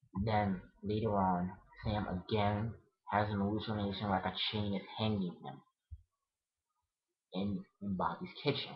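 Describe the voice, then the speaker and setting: A man's somewhat breathy voice at a fairly slow pace, with fairly even intonation and long, frequent pauses. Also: fairly low pitch for a man. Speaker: vlogger. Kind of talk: casual chat.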